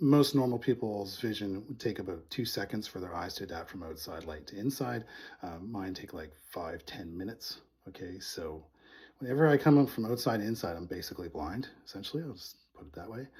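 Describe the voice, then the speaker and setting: A man with a fairly low pitch talks at a fairly quick pace. His voice is somewhat breathy and swings a lot in loudness. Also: very clean recording, silent background. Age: 40s. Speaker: vlogger with low vision. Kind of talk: casual vlog talk. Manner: hesitant, many fillers.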